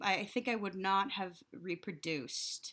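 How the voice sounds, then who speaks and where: In an American accent, a woman with medium pitch speaks in a bright, sharp tone with ordinary pitch variation. The recording is very clean, with a silent background. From Brooklyn, New York, US. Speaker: podcast host. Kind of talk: casual banter podcast. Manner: animated, opinionated.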